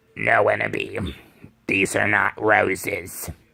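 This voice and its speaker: Using a raspy put-on character voice, a man speaks. His pace is fairly slow. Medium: read story.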